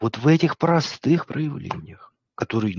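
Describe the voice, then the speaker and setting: His pace is fairly slow and his voice somewhat breathy, with lively intonation. The sound is dry with no echo. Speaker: psychologist streamer reviewing videos. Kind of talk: live stream commentary. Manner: casual, joking. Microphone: phone near.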